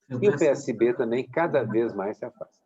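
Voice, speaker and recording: A dark, mellow tone comes from a man, the sound dry and close with no echo. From Belo Horizonte, Minas Gerais, Brazil. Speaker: political cartoonist. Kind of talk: interview answer.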